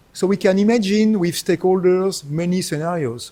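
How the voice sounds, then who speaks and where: A man with a strong French accent talks at a moderate pace. His high-pitched voice has a dark, mellow tone. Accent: thick French. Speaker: professor. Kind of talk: lecture.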